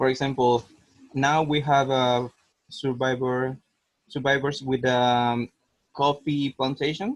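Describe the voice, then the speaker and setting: With a Spanish accent and a medium pitch, a man speaks very slowly in a monotone, flat voice with long, frequent pauses, the sound dry and close with no echo. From Costa Rica. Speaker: cancer survivor foundation worker. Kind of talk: webinar discussion. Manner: halting, hesitant.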